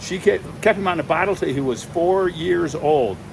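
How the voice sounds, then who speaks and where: Noticeable background noise lies beneath speech with lively intonation. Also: man. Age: 60s. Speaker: giant pumpkin grower, channel host. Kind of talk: casual chat.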